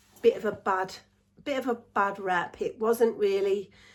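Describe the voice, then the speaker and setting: A woman speaks with an English accent. Her voice is fairly high, and her pace is fairly slow. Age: 60s. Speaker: vlogger. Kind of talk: casual chat.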